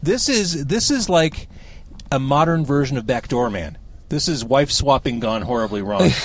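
A man talks in an ordinary speaking voice at a moderate pace. His pitch sits fairly high, with lively intonation. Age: 40s. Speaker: podcast host. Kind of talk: casual interview. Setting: parked car.

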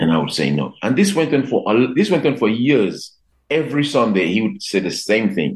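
A man speaks with vocal fry, very wide pitch swings and very even loudness. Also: medium pitch for a man, moderate pace. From Dominica. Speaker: jazz guitarist. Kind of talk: casual interview.

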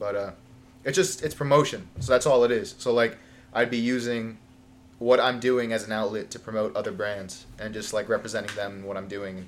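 A man with an American accent and an unremarkable speaking voice, medium in pitch, at a fairly quick pace, with ordinary pitch variation and big swings in loudness. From Long Island, New York. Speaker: firefighter trainee. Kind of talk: casual chat.

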